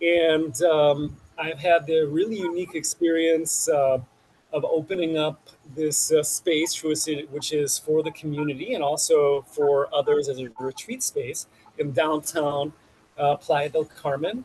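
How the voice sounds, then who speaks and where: With a Chicago accent, a man talks at a fairly slow pace in a fairly high pitch and fairly even intonation, over noticeable background noise. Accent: Chicago American English. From US Midwest, Chicago. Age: 40s. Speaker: detox practitioner. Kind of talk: interview. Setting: outdoors on a rooftop garden.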